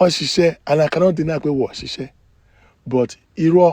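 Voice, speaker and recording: With a dark, mellow tone, this voice keeps a moderate pace and shows ordinary pitch variation. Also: man. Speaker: gossip vlogger. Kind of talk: casual storytelling live stream.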